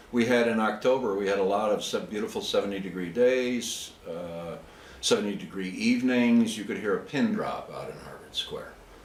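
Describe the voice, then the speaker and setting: Over noticeable background noise, a man talks at a moderate pace with big swings in loudness. The room echo is audible. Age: 60s. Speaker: chess player. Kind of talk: casual interview.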